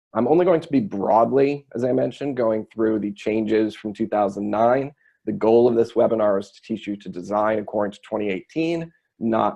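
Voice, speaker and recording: A man speaks at a fairly low pitch. His pace is fairly quick. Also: big swings in loudness. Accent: American. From United States. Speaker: structural engineer. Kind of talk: webinar presentation. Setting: online webinar.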